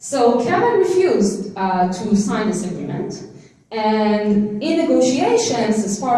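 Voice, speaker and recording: A woman with an Israeli accent speaks at a medium pitch with lively intonation, her voice carrying audible room echo over noticeable background noise. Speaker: legal scholar and conference speaker. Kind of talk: conference talk. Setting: stage with audience.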